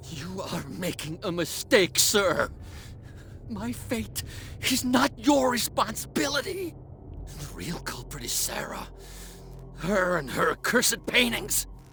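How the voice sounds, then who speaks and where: In a put-on character voice, the speaker moves at a fairly slow pace with long, frequent pauses, clear music playing in the background. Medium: video game. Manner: frantic, stammering.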